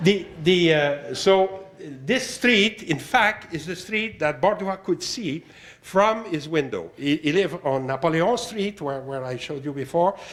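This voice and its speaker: Through noticeable background noise, a man with a Quebec accent speaks at a fairly slow pace, his pitch high and his intonation lively. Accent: Québécois French accent in English. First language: French. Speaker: art historian. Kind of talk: lecture. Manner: halting, many fillers.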